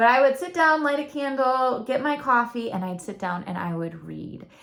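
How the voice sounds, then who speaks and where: A woman with a Michigan accent, high in pitch, at a moderate pace, with very wide pitch swings and big swings in loudness. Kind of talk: personal testimony vlog. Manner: talkative.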